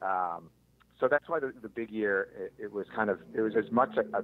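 A fairly low-pitched man at a moderate pace, in a plain, everyday voice. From US Northeast, Philadelphia. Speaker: birder and bird photographer, former scientist. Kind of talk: casual interview chat.

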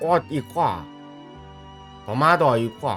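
With music in the background, a man in a Gyeongsang accent speaks at a very slow pace with very wide pitch swings. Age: 80s+. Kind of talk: casual gameplay commentary.

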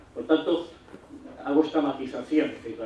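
Fairly high male pitch amid noticeable background noise. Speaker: law professor. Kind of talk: lecture. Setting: stage with audience.

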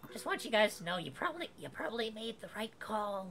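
Using a squeaky, put-on character voice, a female-sounding speaker goes at a moderate pace in a fairly high pitch over clear background noise.

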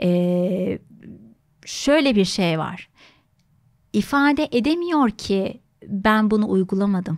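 Against a quiet background, a woman speaks at a very slow pace with long, frequent pauses. Her pitch swings very widely. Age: 30s. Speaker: psychologist; guest psychologist or host. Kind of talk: interview conversation. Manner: many filler sounds, hesitant. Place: studio. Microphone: studio mic.

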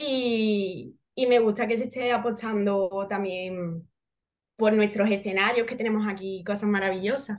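Intonation stays fairly even at a fairly slow pace. The background is quiet. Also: woman, fairly high pitch for a woman. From Seville, Andalusia, Spain; Andalusia, Spain. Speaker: actress. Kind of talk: interview. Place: home room. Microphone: video call.

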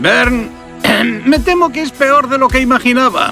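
A man puts on a cartoonish character voice at an extremely high pitch, bright and sharp in tone with vocal fry, at a fairly slow pace over faint background music. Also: ordinary pitch variation.

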